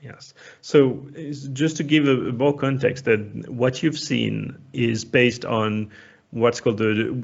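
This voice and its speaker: Using a French accent, a man speaks at medium pitch with vocal fry and fairly even intonation. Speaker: software community expert. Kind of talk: technical talk.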